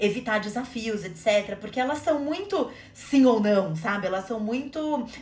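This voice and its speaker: Here a woman speaks at a fairly high pitch and a moderate pace. Her pitch variation is ordinary, and room echo is audible. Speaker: podcast co-host. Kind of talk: casual conversational podcast chat.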